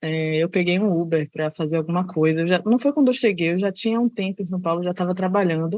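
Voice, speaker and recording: Speaking fairly quickly with a Salvador accent, a woman uses a fairly low voice. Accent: northeastern Brazilian (Salvador). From Salvador, Bahia, Brazil. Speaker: service designer and researcher. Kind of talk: podcast interview.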